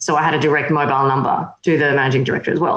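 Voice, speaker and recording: With an Australian accent, a woman talks at a very fast pace amid audible room echo. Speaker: magazine editor and publisher. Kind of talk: interview.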